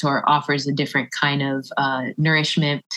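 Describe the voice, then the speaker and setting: Her voice sits at a very deep, low pitch, and this woman talks with an American accent. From Orlando, Florida. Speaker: author and spoken word poet. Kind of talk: casual interview.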